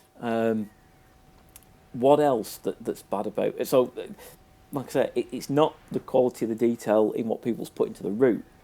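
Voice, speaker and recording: A man with a Manchester accent speaks at a moderate pace, leaving long, frequent pauses. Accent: Manchester-area. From northern England, near Manchester. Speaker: video game reviewer. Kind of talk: casual review commentary. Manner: hesitant, many fillers and repetitions.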